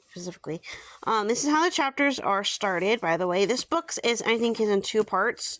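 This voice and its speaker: In a very clean recording with a silent background, a woman speaks fairly quickly at medium pitch with lively intonation. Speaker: book reviewer / YouTuber. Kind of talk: casual product review. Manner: fast, with many fillers.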